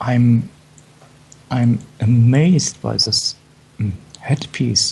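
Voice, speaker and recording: Over noticeable background noise, a man with a strong German accent speaks very slowly at medium pitch with ordinary variation. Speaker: fashion show commentator. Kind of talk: live show commentary. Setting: live broadcast.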